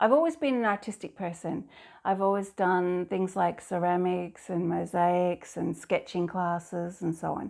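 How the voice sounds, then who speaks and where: With a slight Scottish accent, a woman speaks at a moderate pace in a fairly low pitch and fairly even intonation, on a very clean recording with a silent background. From Scotland. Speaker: abstract artist. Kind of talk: interview monologue. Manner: halting at times.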